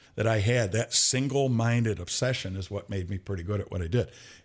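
Here is a man with an ordinary speaking voice and an American accent, pitched medium with ordinary pitch variation. The recording is very clean, with a silent background. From Michigan, Flint area. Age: 60s. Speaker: retired police chief and conservation officer. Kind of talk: casual chat.

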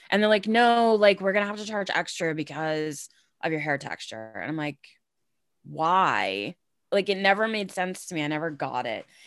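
With an American accent, a woman talks at a moderate pace and a medium pitch in a plain, everyday voice. Her intonation is lively, and the recording is very clean with a silent background. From Massachusetts. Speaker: podcast co-host. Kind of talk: casual chat.

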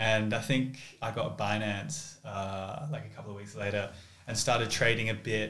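A man with an Australian accent at a moderate pace, with audible room echo and noticeable background noise. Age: 20s. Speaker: finance graduate. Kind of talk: casual chat.

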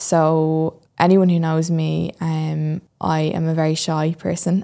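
The speaker has a dark, mellow tone and a Dublin accent. The intonation stays monotone and flat. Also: woman. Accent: Irish (Dublin). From Ireland, Dublin. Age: 20s. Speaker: podcast host and fitness transformation storyteller. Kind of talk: solo podcast monologue, personal story. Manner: hesitant with frequent fillers.

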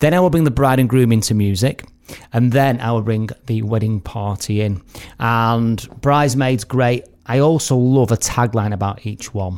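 A man speaks at a moderate pace with an English accent, his pitch medium and its variation ordinary. The recording is very clean, with a silent background. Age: 40s. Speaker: wedding host and podcast host. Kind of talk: casual chat.

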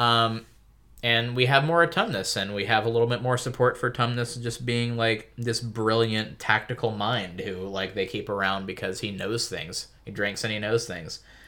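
A man with a bright, sharp tone talks at a medium pitch and moderate pace, with ordinary pitch variation. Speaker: podcast co-host. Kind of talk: casual chat.

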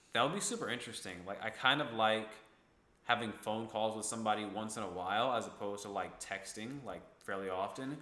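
In an American accent, a man speaks at a fairly quick pace with a fairly low pitch and a bright, sharp tone. His intonation stays fairly even, and there is audible room echo. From upstate New York (Ithaca). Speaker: podcast host. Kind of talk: casual chat.

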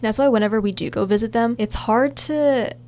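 Pitched at a medium level, a woman's voice moves through very wide pitch swings. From US. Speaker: student podcast co-host. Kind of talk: casual chat.

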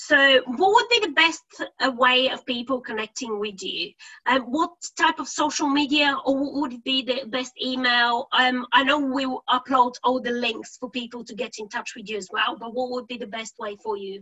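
Speaking at a moderate pace in a Bulgarian accent, a woman with a high pitch shows ordinary pitch variation and big swings in loudness. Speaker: podcast host. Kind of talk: interview.

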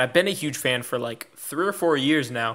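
Heard on a very clean recording with a silent background, an ordinary speaking voice keeps a moderate pace and lively intonation. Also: man. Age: 20s. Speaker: trading podcast co-host. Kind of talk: casual chat.

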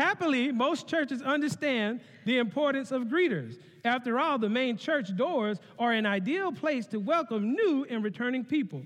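An animated man with a Southern US accent, extremely high-pitched, lively in intonation, at a moderate pace and very even loudness. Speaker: connection pastor. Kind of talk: sermon. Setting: church.

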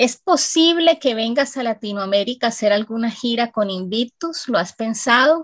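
A woman with an ordinary speaking voice, fairly high in pitch, with lively intonation, a moderate pace and hardly any pauses, in a dry, close sound with no echo. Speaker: radio host. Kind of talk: radio presenting; interview.

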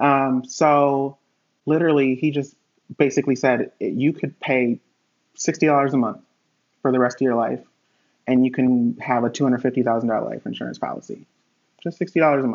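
A man with an American accent at a medium pitch, fairly slow and fairly even in intonation, with long, frequent pauses. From Connecticut, US. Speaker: hotel industry worker and life insurance agent. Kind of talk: casual interview chat. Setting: remote video call.

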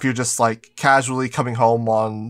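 A man with an unremarkable speaking voice, pitched in the medium range, talks at a moderate speed in a very clean recording with a silent background. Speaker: podcast co-host and anime YouTuber. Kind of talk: casual chat.

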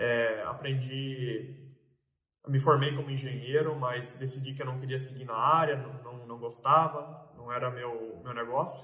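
Speaking at a fairly slow pace, a man with a medium pitch and a bright, sharp tone keeps a monotone, flat intonation while his loudness swings widely. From Mato Grosso, Brazil (Sorriso). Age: 20s. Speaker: farm real estate broker. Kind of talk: casual vlog monologue. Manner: hesitant, many filler sounds.

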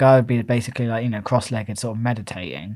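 In a very clean recording with a silent background, a man with an English accent talks at a very fast pace. His pitch sits in the medium range. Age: 20s. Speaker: podcast co-host. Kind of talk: casual chat.

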